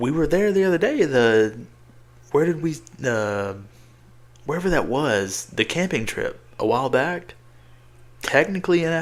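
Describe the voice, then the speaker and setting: With a Southern US accent, a fairly high-pitched man speaks at a moderate pace with very wide pitch swings. He leaves long, frequent pauses. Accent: Southern country. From Tennessee. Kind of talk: casual, relaxed.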